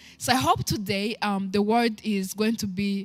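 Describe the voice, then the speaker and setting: This voice carries a Rwandan accent. It is somewhat breathy. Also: woman. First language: Kinyarwanda. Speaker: talk show host. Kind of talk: inspirational talk. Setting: live stream.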